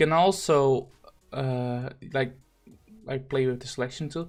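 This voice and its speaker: Fairly slow speech in a non-native accent, with music in the background. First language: not English. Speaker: gaming streamer and thumbnail designer. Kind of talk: tutorial. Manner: halting, many fillers.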